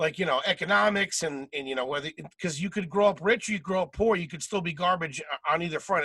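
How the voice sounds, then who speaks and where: Speaking very fast with hardly any pauses, a man with a Philadelphia accent has a high pitch and a bright, sharp tone, recorded with a dry, close sound and no echo. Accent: Philadelphia American. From Philadelphia suburbs, US. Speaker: comedian and podcast host. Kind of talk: casual chat.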